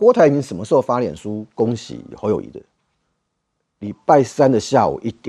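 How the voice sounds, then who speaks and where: At a moderate pace with long, frequent pauses, the voice makes big swings in loudness, heard in a dry, close sound with no echo. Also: man. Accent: Taiwanese. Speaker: political commentator. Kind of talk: political talk show.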